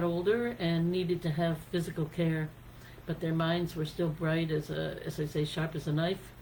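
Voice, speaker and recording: A woman with an American accent speaks at a moderate pace in a fairly low pitch, her tone dark and mellow and somewhat breathy. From United States. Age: 60s. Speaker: singer-songwriter. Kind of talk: casual talk on songwriting and life.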